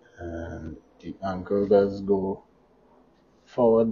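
A soft-spoken man with fairly low pitch. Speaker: toy reviewer. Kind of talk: product review.

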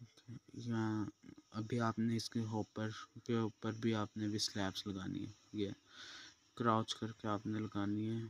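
Monotone and flat, a man with a fairly low pitch speaks at a fairly slow pace. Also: dry, close sound with no echo.

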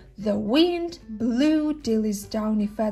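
The clip carries a natural reading voice.

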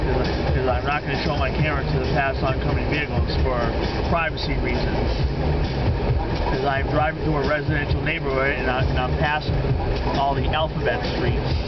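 Over loud background noise, the speaker talks at a fairly quick pace. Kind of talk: casual vlog chat. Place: car. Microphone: phone near.

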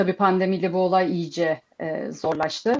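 At a fairly slow pace, a woman is talking. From Turkey. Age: 30s. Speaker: security program manager; panelist. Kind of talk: online panel discussion. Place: home room. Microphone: video call.

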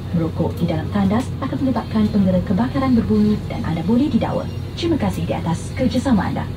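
A woman talks at a very fast pace. Noticeable noise sits behind her. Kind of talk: safety announcement. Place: plane.

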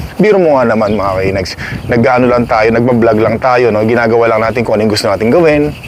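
A man speaks at a medium pitch and a very fast pace, with noticeable noise in the background. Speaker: vlogger. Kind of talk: casual vlog. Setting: outdoors. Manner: loud; animated.

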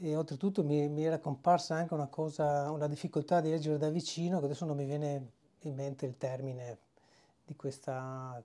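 Fairly even intonation and a dark, mellow tone mark a man with a fairly high pitch who talks at a fairly quick pace. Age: 50s. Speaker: fasting retreat participant. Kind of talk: testimony. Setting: video diary at a retreat.

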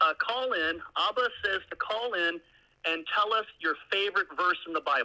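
Raised and projected, a man's high-pitched voice carries a bright, sharp tone. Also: ordinary pitch variation, moderate pace. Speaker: caller. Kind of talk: casual chat. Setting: phone call. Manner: jokey, laughs.

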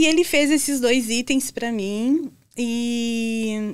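At a very slow pace, a woman talks in a high voice with ordinary pitch variation. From southern Brazil (Santa Catarina). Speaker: educator and furniture workshop founder. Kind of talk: interview. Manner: hesitant fillers. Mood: warm, cheerful storytelling. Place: studio. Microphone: studio mic.

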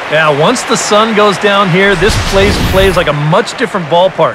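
Over noticeable background noise, a man with a high-pitched voice talks at a fairly slow pace with ordinary pitch variation. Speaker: baseball color commentator. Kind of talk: live sports commentary (video game audio). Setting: studio.

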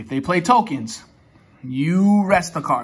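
A man speaks at a fairly slow pace with a high pitch. His intonation is lively. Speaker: card game deck reviewer. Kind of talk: tutorial. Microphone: phone near.

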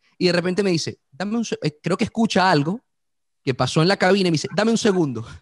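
A man's high, animated voice, very fast, with lively intonation, a dry sound with no echo and a quiet background. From Venezuela (Caracas family). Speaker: radio host. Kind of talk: interview. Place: studio. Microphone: studio mic.

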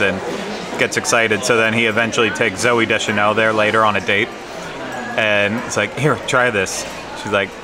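Noticeable background noise surrounds a man talking at a moderate pace. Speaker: food vlogger. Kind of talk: casual vlog chat. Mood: playful, joking. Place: hall. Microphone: phone near.

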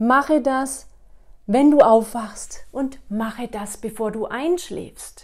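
A woman speaks at a very slow pace in a high voice, her loudness swinging widely against a quiet background. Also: ordinary pitch variation. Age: 40s. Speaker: wellness coach / YouTuber; wellness coach, YouTuber. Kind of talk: motivational monologue to camera; guided exercise instructions. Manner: animated. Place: home room. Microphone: lapel.

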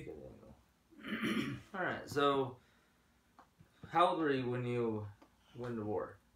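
Amid audible room echo and light background noise, a man talks at a very slow pace with long, frequent pauses and ordinary pitch variation. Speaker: interviewer. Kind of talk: interview question. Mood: relaxed, gentle. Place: home room. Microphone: camera far.

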